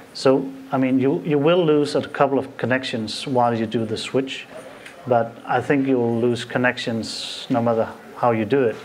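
In a Danish accent, a man speaks at a moderate pace with fairly even intonation over light background noise. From Denmark. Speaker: IT consultant; conference presenter. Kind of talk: live demo. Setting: stage with audience. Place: hall. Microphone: podium.

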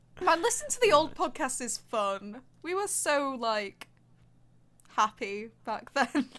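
The pace is fairly slow and the pitch swings very widely. The tone is bright and sharp. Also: woman, high pitch for a woman. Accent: British. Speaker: podcast co-host. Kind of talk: casual chat.

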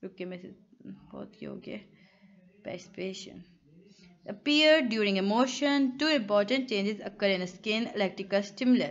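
Using a plain, everyday voice, a woman speaks with ordinary pitch variation at a fairly high pitch. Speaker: online tutor. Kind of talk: lecture. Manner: conversational.

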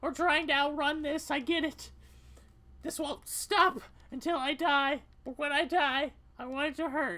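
Using a put-on character voice at an extremely high pitch, a man speaks at a moderate pace with long, frequent pauses. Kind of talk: solo game voice acting. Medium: solo performance. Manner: raw, confessional, desperate.

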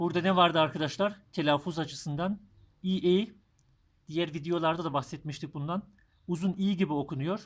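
A man's high-pitched voice with fairly even intonation, on a very clean recording with a silent background. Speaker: German language teacher. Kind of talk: tutorial. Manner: slow.

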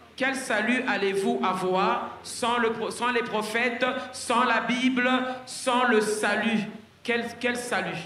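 A raised, projected voice comes at a very slow pace with very even loudness and monotone, flat intonation, with audible room echo and light background noise. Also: man, extremely high pitch for a man. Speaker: French interpreter; preacher. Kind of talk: consecutive interpreting of a sermon; sermon. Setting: church, live audience. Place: stage. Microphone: handheld.

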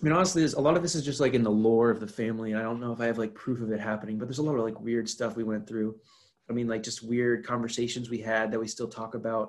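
A man at a very fast pace, ordinary pitch variation, quiet background. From North Carolina. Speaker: podcast guest, host's roommate. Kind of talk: casual chat. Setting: video call. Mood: relaxed, smiling. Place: home room. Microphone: video call.

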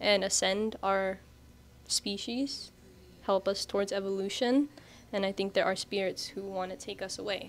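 Light background noise sits behind the speech. The pace is fairly quick, and the intonation fairly even. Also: woman. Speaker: interviewee. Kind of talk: interview answer. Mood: calm, earnest. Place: shop. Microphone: handheld.

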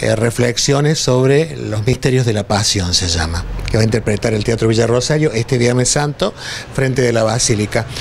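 Moderate-paced speech from a man, with ordinary pitch variation and light background noise. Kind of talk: interview answer. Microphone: handheld.

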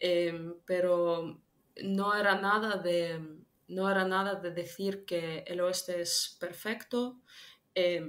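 With a slight non-native accent, a woman speaks in a flat, monotone delivery at a medium pitch. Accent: slight foreign. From Ukraine. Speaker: political analyst; interview guest. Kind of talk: interview. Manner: halting, many fillers. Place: home room.

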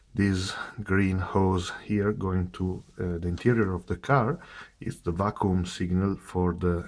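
A man speaks with a non-native accent in a very deep, low voice. His pace is fairly slow and his intonation fairly even. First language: not English. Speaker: car enthusiast. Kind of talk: casual technical walkaround to camera. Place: garage. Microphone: phone near.

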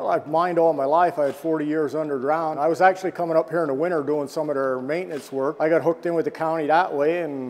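Faint music plays in the background as a man talks very fast in a monotone, flat voice with hardly any pauses. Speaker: tour guide. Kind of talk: interview answer. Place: hall. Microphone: lapel.

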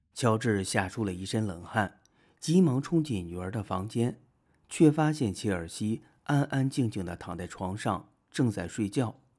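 This man has a plain, everyday voice at a fairly low pitch. His intonation is lively and his pace fairly slow. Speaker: video narrator. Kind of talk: true-crime horror narration, film-recap storytelling. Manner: steady, measured storyteller pacing, building eerie suspense.

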